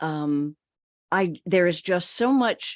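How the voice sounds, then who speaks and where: This is a normal speaking voice from a woman with an American accent and a fairly low pitch. Her intonation is lively, and the background is quiet. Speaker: broadcast voice coach. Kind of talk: interview answer.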